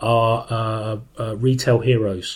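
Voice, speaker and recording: A man speaks with a British accent and fairly even intonation. The recording is very clean with a silent background. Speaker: podcast co-host. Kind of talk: casual chat. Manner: deadpan.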